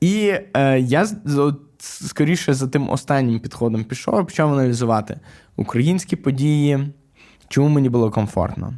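A man with a fairly high pitch and a dark, mellow tone speaks at a moderate pace with lively intonation. The recording is very clean with a silent background, and the loudness stays very even. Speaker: podcast co-host, tech entrepreneur. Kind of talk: casual chat.

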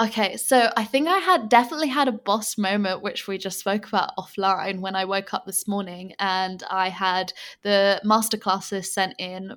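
A woman speaks with an English accent. The recording is very clean, with total silence behind her. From England. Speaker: podcast host and online business owner. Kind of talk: interview about her story and business. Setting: Bali, late evening.

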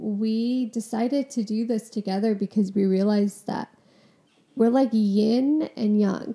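A woman speaks at a fairly high pitch with fairly even intonation. Her tone is dark and mellow, and somewhat breathy. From Punjabi Sikh family, US. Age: 20s. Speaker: podcast co-host, therapy student. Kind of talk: casual chat.

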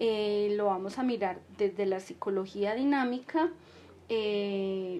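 The woman's pitch is medium. It shows ordinary variation. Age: 50s. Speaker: podcast host, psychology educator. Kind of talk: casual monologue to listeners; solo podcast lecture on psychology. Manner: hesitant, many fillers.

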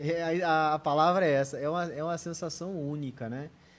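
A man's ordinary speaking voice, fairly high-pitched and moderately paced. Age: 40s. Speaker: physiotherapist and deputy mayor. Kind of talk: casual interview chat.

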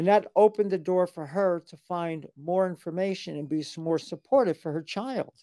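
In a plain, everyday voice, a woman talks at a moderate pace with a fairly low pitch. Her loudness swings widely, and the sound is dry and close with no echo. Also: ordinary pitch variation. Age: 60s. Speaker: gender transition counselor. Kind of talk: interview. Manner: formal.

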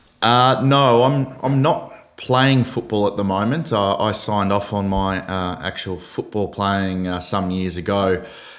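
In an Australian accent, a man speaks at a fairly slow pace with hardly any pauses, his pitch fairly low with ordinary variation. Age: 30s. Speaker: football club CEO. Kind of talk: casual interview. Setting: remote call from office. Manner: halting, many fillers and repeats.

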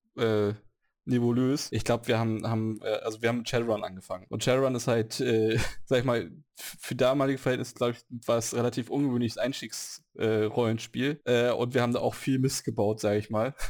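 On a very clean recording with a silent background, a man talks at a fairly quick pace with a medium pitch and a monotone, flat intonation. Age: 30s. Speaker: podcast host, role-playing gamer. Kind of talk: casual chat.

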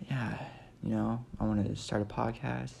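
A man's very deep, low voice with a dark, mellow tone, an American accent, vocal fry, very wide pitch swings and a fairly slow pace. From Nebraska. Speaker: comedy podcaster. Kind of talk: casual comedic monologue. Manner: rambling with frequent fillers.

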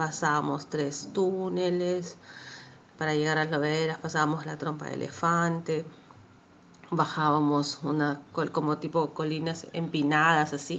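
The voice comes out in a flat monotone at a fairly slow pace. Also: woman, very deep, low pitch for a woman. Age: 30s. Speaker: bereaved daughter. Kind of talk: testimony. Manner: halting.

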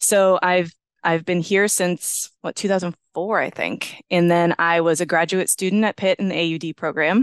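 A woman with a normal speaking voice talks at a moderate pace, with hardly any pauses and fairly even intonation at a fairly low pitch. The sound is dry and close with no echo, over a quiet background. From western Pennsylvania, US. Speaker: audiologist. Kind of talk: interview conversation.

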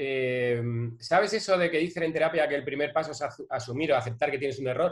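Using a normal speaking voice, a man talks at a moderate pace and fairly high pitch with ordinary pitch variation. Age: 40s. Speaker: advertising strategist, agency founder. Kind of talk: casual interview conversation.

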